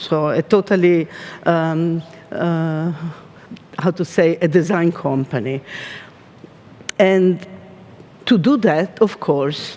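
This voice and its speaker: Slow and marked by long, frequent pauses, a woman with an Italian accent talks at a fairly low pitch with ordinary pitch variation over noticeable background noise. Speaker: design company art director. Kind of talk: keynote talk. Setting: stage with audience. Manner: halting.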